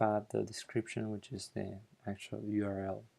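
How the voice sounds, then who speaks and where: Flat and monotone, a man speaks at a moderate pace in a dark, mellow tone. The recording is very clean, with a silent background. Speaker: software developer presenter. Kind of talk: tutorial. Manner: mumbling; halting.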